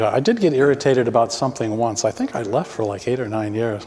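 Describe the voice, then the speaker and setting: There is noticeable background noise behind this man. He talks at a medium pitch and a fairly quick pace. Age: 70s. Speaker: parishioner. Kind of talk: casual chat. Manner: halting.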